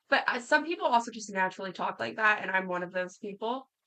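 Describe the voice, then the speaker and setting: At a fairly quick pace, a woman speaks with a bright, sharp tone at a medium pitch. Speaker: gaming streamer. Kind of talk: casual live stream chat. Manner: halting, many fillers.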